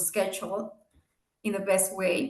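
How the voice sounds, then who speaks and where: With audible room echo around her, a woman speaks in a non-native accent at a moderate pace and a medium pitch. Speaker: business executive and guest speaker. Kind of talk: seminar talk with Q&A. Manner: halting.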